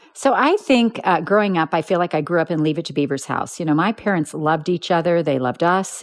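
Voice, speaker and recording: An ordinary speaking voice from a woman, fairly low in pitch, with an American accent, ordinary pitch variation and a fairly quick pace, against a quiet background. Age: 60s. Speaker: quilting business founder and author. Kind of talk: interview.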